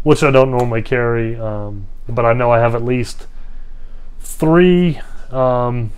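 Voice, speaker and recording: Audible room echo surrounds a man with an American accent. He talks at a fairly slow pace with ordinary pitch variation. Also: medium pitch for a man. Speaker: hiking vlogger. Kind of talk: casual vlog monologue. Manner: mumbling at times; hesitant, many fillers.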